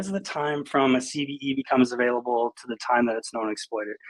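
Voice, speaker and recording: A man speaks with ordinary pitch variation. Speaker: security researcher. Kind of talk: conference talk. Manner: many fillers, halting.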